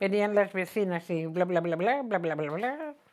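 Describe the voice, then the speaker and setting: A woman speaks with a Madrid accent and very wide pitch swings. The background is quiet. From Madrid (Chamberí), born in Cantabria; Madrid, Spain. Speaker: retired teacher telling her life story. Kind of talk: oral history interview. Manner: halting, with frequent repetitions. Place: home room. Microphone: lapel.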